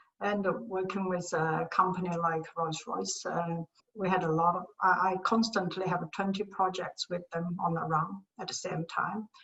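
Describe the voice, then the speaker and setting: Speaking at a moderate pace, a woman uses a medium pitch. Her intonation is monotone and flat. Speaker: materials science engineering professor. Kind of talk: interview. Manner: soft-spoken; halting.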